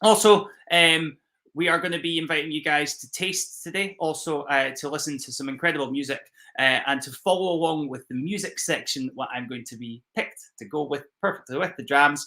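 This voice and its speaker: Speaking at a fairly quick pace in a strong Scottish accent, a man with a fairly high pitch and a bright, sharp tone shows ordinary pitch variation and big swings in loudness. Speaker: whisky ambassador. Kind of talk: live-streamed virtual whisky tasting. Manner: casual, with many fillers.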